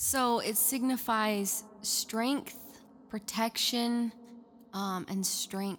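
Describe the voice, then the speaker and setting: A woman's fairly high voice at a very slow pace, with fairly even intonation and music in the background. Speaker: podcast co-host. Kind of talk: casual chat.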